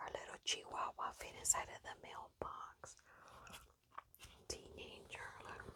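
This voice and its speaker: Whispering in a gentle tone, a woman speaks at a very slow pace. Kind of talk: ASMR magazine page-flipping, casual talk to camera. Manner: soft-spoken, gentle.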